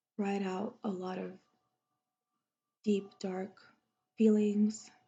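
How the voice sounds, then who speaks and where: A soft-spoken woman whispers at a very slow pace, her voice somewhat breathy. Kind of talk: ASMR soft-spoken chat. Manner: soft-spoken, whispery.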